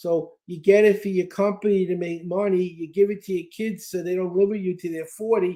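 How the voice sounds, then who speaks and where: Monotone and flat, a man with an American accent speaks at a high pitch in a dark, mellow tone. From US Northeast (Brooklyn, New York). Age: 70s. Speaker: speed-reading trainer and author. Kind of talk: interview.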